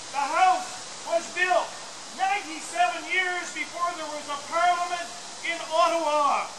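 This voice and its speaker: Loud and at a fairly slow pace, a man speaks over noticeable background noise. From Canada. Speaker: town crier. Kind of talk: ceremonial town crier proclamation. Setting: outdoors. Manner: loud, declamatory. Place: open country. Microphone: camera far.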